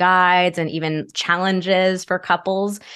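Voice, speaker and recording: Against a quiet background, a woman with an ordinary speaking voice talks at a moderate pace and medium pitch with fairly even intonation. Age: 30s. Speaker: sex therapist. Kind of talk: casual chat.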